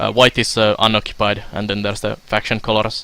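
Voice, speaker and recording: With a Finnish accent, a fairly low-pitched man talks at a very fast pace over noticeable background noise. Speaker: video game streamer. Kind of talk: live stream gameplay commentary. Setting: live stream. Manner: hesitant, many filler sounds.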